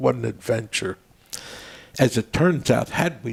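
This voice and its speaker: A man speaks with an American accent. His voice has vocal fry. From Maryland, US (Baltimore area). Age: 80s+. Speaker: veterans' organization leader and storyteller. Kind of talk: casual interview chat.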